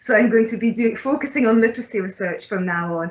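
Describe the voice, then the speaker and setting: A woman talks at a very fast pace, her pitch varying in an ordinary way. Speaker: guest lecturer. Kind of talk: lecture. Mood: friendly, smiling. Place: home room. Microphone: video call.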